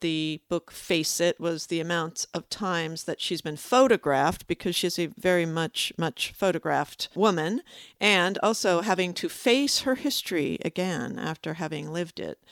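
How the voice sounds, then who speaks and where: In a normal speaking voice, a woman talks at a moderate pace with hardly any pauses, fairly low pitch and ordinary pitch variation, the sound dry and close with no echo on a very clean recording with a silent background. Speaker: librarian and podcast co-host. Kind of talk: casual chat.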